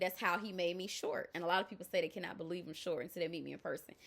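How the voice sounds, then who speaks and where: A loud woman's voice with a Southern US accent. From US South. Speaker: life coach. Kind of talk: motivational talk. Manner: animated.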